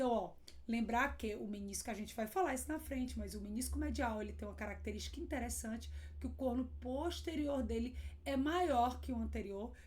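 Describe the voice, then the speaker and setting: The speaker talks at a fairly quick pace. Noticeable background noise and audible room echo are present. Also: woman. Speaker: radiologist teaching. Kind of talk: lecture.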